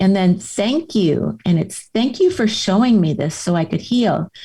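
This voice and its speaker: A woman's fairly slow, lively speech at medium pitch, dark and mellow in tone and somewhat breathy. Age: 70s. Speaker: author and Camino pilgrim; former caregiver. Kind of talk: podcast interview answer.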